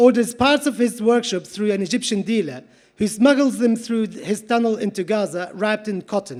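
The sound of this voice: Reading in an unforced voice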